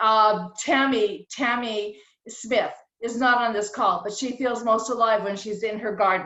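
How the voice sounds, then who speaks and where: It is an unremarkable speaking voice. The pace is fairly slow, with ordinary pitch variation. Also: woman, fairly high pitch for a woman. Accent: American. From rural New England, later Southern California. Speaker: caterer and speaker. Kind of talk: personal talk at virtual meeting.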